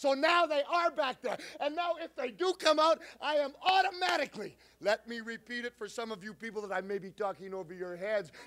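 At a fairly quick pace, a man talks in an extremely high pitch, with very wide pitch swings and big swings in loudness. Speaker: professional wrestler. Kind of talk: wrestling promo. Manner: loud, aggressive, taunting. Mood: angry, taunting. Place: studio. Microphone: handheld.

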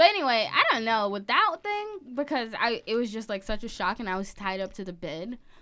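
Fairly quick, lively speech from a woman with an American accent, fairly high pitch and hardly any pauses, over noticeable background noise. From US South, small-town Georgia. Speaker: podcast co-host. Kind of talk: casual chat.

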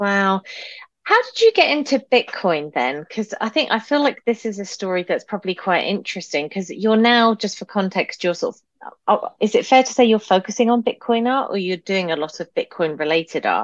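With a normal speaking voice, a woman talks at a fairly quick pace and fairly high pitch, her intonation lively and the sound dry and close with no echo. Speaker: podcast host. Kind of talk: interview. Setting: video call.

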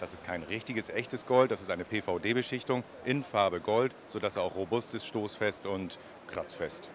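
A man's fairly low pitch at a moderate pace, with fairly even intonation, light background noise and a dry sound with no echo. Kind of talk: interview answer. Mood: friendly, smiling. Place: hall. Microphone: handheld.

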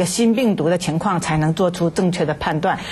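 This woman talks at a moderate pace. Her pitch rises and falls in an ordinary way. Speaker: medical expert. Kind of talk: interview. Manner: halting, many fillers. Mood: calm, explanatory. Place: studio.

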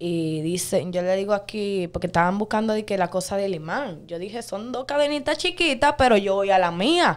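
With lively intonation and hardly any pauses, a woman speaks over a quiet background. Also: moderate pace. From Dominican Republic. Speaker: viral dancer and social media personality; interview guest. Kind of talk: interview. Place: studio. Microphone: studio mic.

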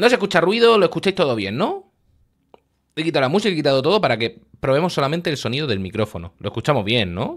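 A very fast male voice with vocal fry and very wide pitch swings, over a quiet background. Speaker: streamer. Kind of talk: casual stream chat. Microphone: studio mic.

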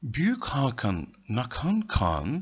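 A man with a medium pitch and a husky, rough edge talks at a slow pace, his voice making very wide pitch swings.

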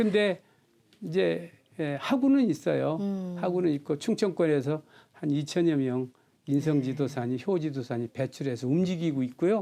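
Lively intonation marks this man's fairly high voice, which has a dark, mellow tone. He keeps a moderate pace over a quiet background. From South Korea, Chungcheongnam-do (Seocheon). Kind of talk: interview.

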